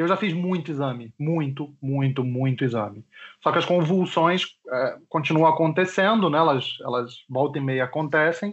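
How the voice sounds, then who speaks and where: With a plain, everyday voice, a man talks at a moderate pace and a fairly high pitch, using ordinary pitch variation. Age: 30s. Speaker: early internet personality with epilepsy. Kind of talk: casual chat. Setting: Skype call.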